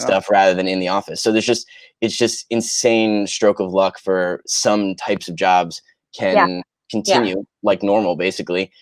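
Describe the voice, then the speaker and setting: Recorded very clean with a silent background and a dry, close sound with no echo, a man in a plain, everyday voice speaks at a moderate pace with fairly low pitch and fairly even intonation. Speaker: voice actor. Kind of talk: interview answer.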